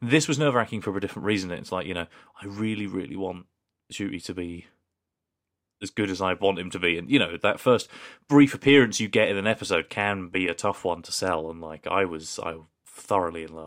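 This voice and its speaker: Recorded very cleanly against a silent background, a man with a British accent speaks fairly quickly in a very deep, low pitch, with ordinary pitch variation and big swings in loudness. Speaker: podcast co-host. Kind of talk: casual chat. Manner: jokey.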